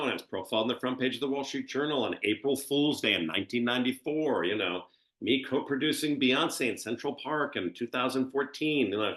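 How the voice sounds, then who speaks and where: At a very fast pace with hardly any pauses, a man of medium pitch speaks with ordinary pitch variation. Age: 60s. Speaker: reality TV cast member and event planner. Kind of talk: interview. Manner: animated.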